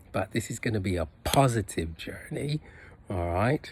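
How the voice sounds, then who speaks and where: This man moves at a fairly slow pace, and his voice is somewhat breathy. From UK and Jamaica (teens in Jamaica). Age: 60s. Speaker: personal trainer, fitness vlogger. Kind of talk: casual vlog monologue. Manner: halting, many fillers.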